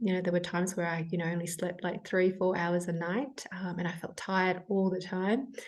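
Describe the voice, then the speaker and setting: Medium pitch and an Australian accent in a woman's voice. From Australia (Sydney), born in Peru. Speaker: health coach. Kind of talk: interview, personal story.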